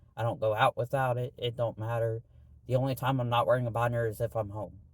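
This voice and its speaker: At a very fast pace, a somewhat breathy man speaks in monotone, flat intonation. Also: medium pitch for a man. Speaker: vlogger. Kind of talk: casual vlog monologue. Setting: in a parked car. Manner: hesitant, filler-heavy.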